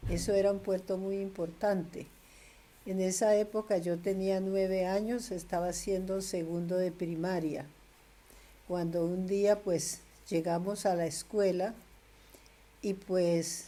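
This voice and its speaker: Very slowly and with long, frequent pauses, a woman speaks in a flat monotone at a medium pitch with a dark, mellow tone. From Colombia, Tolima (Ambalema). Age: 80s+. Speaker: grandmother interviewee. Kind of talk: oral history interview.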